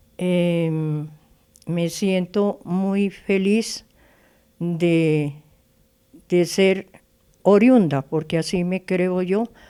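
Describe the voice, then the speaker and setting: A woman's dark, mellow voice, fairly low in pitch, at a very slow pace with long, frequent pauses and fairly even intonation, on a very clean recording with a silent background. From Colombia, Chía (Cundinamarca). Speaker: composer of the municipal anthem. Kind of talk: interview. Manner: halting.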